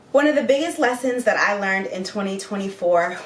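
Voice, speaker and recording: Noticeable noise sits in the background. Through it, a woman talks. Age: 30s. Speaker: lifestyle vlogger. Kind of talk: casual vlog monologue. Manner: animated.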